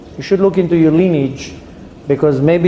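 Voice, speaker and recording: A man talks fairly quickly at a fairly high pitch, his ordinary pitch variation heard through audible room echo and noticeable background noise. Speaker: rabbi and Torah teacher. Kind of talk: lecture. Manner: loud; loud even when whispering.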